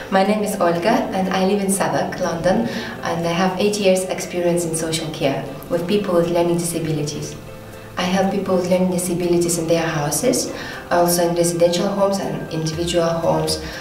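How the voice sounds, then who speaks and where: Over clear background music and audible room echo, a woman with a fairly low voice talks at a fairly quick pace with fairly even intonation. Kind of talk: interview answer. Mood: warm and friendly. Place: empty room.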